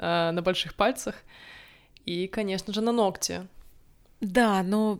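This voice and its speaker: At a fairly slow pace, a woman speaks in a medium pitch with ordinary pitch variation, in a very clean recording with a silent background. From Estonia, Narva (Russian-speaking). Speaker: podcast co-host. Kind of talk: casual chat. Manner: hesitant, with filler sounds.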